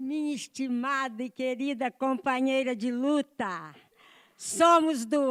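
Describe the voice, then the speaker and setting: Speech unfolds at a very slow pace. The recording is very clean and the background is silent. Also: woman. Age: 70s. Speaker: retired professor and union activist. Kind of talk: speech at a conference. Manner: impassioned.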